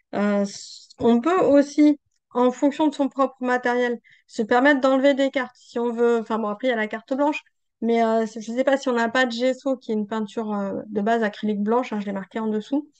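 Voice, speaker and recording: This woman talks at a fairly quick pace. Her pitch is high, and her intonation is fairly even. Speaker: art journaling teacher and creator. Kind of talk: tutorial. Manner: hesitant, many fillers.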